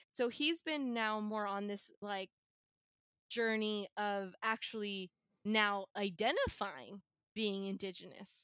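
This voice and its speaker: In an American accent, a woman speaks at a very slow pace and medium pitch with ordinary pitch variation and a bright, sharp tone, recorded dry and close with no echo. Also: very clean recording, silent background. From California, Bay Area. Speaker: podcast guest. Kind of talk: casual chat.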